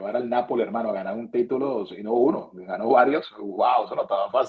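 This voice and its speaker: A man talks at a moderate pace in a medium pitch. His intonation is lively. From Venezuela. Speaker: sports broadcaster. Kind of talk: interview answer.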